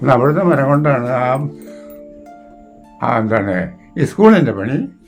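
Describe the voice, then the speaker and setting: Over music in the background, a man speaks at a medium pitch with very wide pitch swings. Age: 80s+. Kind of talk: interview answer, oral history reminiscence.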